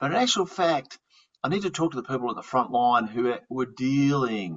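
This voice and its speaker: Lively intonation in an Australian accent. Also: man. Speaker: fraud investigator and podcast host. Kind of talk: podcast interview. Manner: halting, repeats words.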